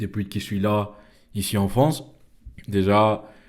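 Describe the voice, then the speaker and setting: A man speaks in a fairly low voice with a dark, mellow tone. His pace is very slow. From Venezuela, Caracas. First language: Spanish (speaking French). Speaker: podcast host. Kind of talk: casual monologue. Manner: halting, many fillers and repetitions.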